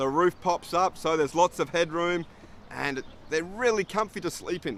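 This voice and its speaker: A man speaks with an Australian accent in a relaxed tone, his pitch fairly high and its variation ordinary. The sound is dry and close, with no echo. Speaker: English teacher. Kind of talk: tutorial; casual storytelling. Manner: relaxed, friendly.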